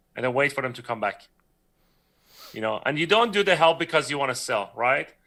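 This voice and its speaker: A man with a Persian accent, fairly high in pitch and fairly quick in pace, his tone bright and sharp, his intonation lively and his loudness swinging widely. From Iran. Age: 30s. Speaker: 3D creature artist. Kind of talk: casual interview chat on livestream. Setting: live stream video call.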